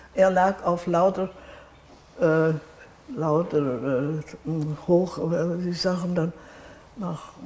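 A woman speaks very slowly, her pitch fairly low. Her pitch moves in an ordinary way, broken by long, frequent pauses. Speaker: contemporary witness. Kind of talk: interview answer. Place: home room. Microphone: lapel.

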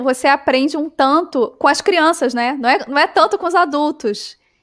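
A woman at a moderate pace, with ordinary pitch variation against a quiet background. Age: 30s. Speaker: travel podcast host; podcast host. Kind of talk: casual interview chat. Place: home room.

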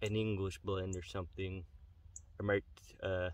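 A man speaks at a low pitch and a moderate pace. His voice shows little pitch movement.

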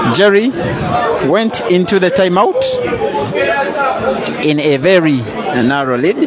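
With crowd noise in the background, a man is heard in a dry sound with no echo. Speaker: match commentator. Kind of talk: sports commentary. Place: hall.

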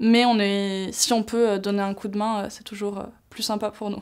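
A woman's fairly high voice in a flat monotone, over a quiet background. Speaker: youth climate delegate. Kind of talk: interview. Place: studio. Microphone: lapel.

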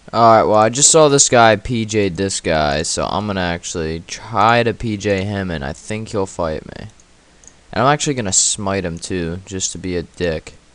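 Against noticeable background noise, a man talks at a moderate pace with a fairly low pitch and ordinary pitch variation. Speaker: RuneScape player and gaming YouTuber. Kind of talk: live gameplay commentary, casual, with an angry rant mid-fight. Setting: at computer, recording gameplay. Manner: casual, filler-heavy, informal teen-style talk.

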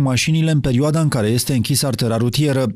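A man's words come at a very fast pace, and his pitch varies in an ordinary way. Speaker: news reporter. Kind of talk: scripted narration.

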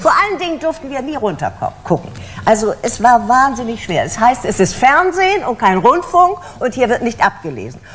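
Over light background noise, a woman with a high pitch talks at a moderate pace, her pitch swinging very widely. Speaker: voice actress and stage actress (dubbed German television series). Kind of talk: interview answer. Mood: lively, humorous storytelling. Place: studio.

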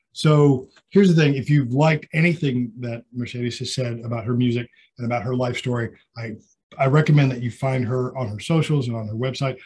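Somewhat breathy, a man talks at a fairly quick pace, medium pitch and ordinary pitch variation. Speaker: radio host. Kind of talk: casual interview. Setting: radio studio.

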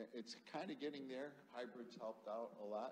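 This man speaks at a fairly slow pace. His intonation is fairly even. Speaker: technology executive; panelist. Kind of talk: panel discussion. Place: hall. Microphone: handheld.

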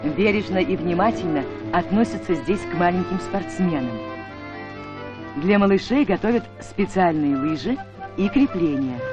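Clear music plays in the background as the speech moves at a fairly slow pace with long, frequent pauses. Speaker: newsreel narrator. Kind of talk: documentary narration. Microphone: old recording.

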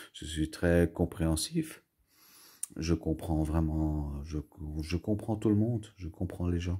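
Against a quiet background, a man speaks fairly slowly in a very deep, low voice. His tone is dark and mellow, somewhat breathy. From Belgium, Brussels. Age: 40s. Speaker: YouTuber, collector; home vlogger. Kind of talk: casual vlog monologue; casual vlog chat. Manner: halting, many fillers and repetitions. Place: home room. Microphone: phone near.

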